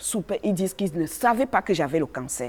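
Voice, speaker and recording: This woman's medium-pitched voice has a dark, mellow tone and very wide pitch swings. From Cameroon. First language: a Cameroonian language (speaking French). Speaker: activist speaking on racism. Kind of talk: testimony. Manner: halting.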